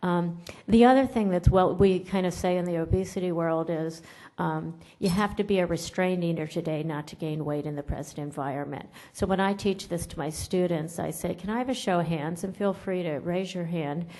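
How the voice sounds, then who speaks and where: A woman talks at a fairly quick pace in a fairly low pitch with ordinary pitch variation. Her tone is dark and mellow, with audible room echo. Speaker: nutrition professor. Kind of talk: conference lecture. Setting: conference room with audience. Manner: loud.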